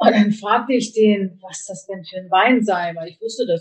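With fairly even intonation, this woman's voice comes out somewhat breathy. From northern Germany, Kiel. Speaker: organic food importer, former journalist. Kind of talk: interview.

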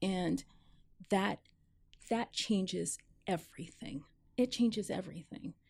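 A woman with an American accent speaks at a medium pitch and a fairly slow pace, somewhat breathy, with lively intonation and long, frequent pauses. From US Northeast (New York / New Jersey). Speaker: university administrator. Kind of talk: interview. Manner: halting, with frequent fillers.

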